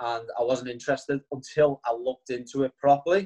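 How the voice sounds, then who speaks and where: A man of medium pitch with a Liverpool accent speaks in a dark, mellow tone, the sound dry and close with no echo. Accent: Liverpool (Scouse). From Liverpool, England. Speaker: network marketing distributor. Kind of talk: testimony.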